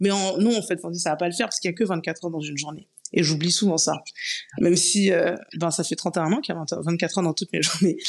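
A woman with a fairly low voice, talking very fast with fairly even intonation. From Paris region, Guadeloupean parents. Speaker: content creator and traveler. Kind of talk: casual interview chat. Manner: hesitant, many fillers.

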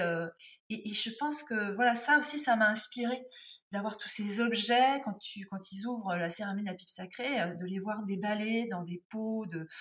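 Fairly high and somewhat breathy, a woman's voice moves at a fairly slow pace. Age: 50s. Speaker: textile artisan and tarot accessory maker. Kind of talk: interview.

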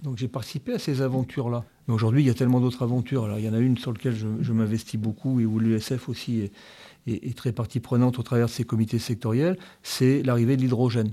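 A man's dark, mellow voice at a very fast pace, on a very clean recording with a silent background. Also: medium pitch for a man, fairly even intonation. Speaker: engineering association president. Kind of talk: interview.

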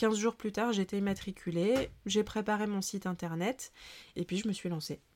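Here is a normal speaking voice from a woman at a medium pitch, with fairly even intonation and a moderate pace. The recording is very clean, with a silent background. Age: 30s. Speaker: book editor and writing coach. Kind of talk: interview.

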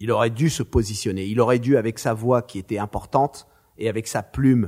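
At a moderate pace, a man speaks at medium pitch in a dry, close sound with no echo. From France, Marseille. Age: 50s. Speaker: screenwriter and film director. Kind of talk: interview. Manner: animated.

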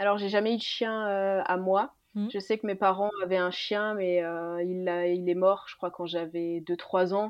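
In a normal speaking voice, a woman at medium pitch speaks fairly slowly with hardly any pauses and fairly even intonation. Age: 20s. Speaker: nurse. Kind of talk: casual chat.

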